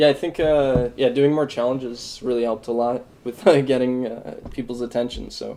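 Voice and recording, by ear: A dark, mellow voice with little pitch movement comes at a moderate pace amid audible room echo. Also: man, medium pitch for a man.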